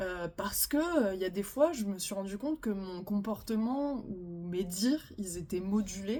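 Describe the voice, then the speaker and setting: Soft-spoken and somewhat breathy, a woman with a dark, mellow tone and lively intonation talks at a fairly slow pace. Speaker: relationship advice youtuber. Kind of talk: casual monologue. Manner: hesitant, many fillers.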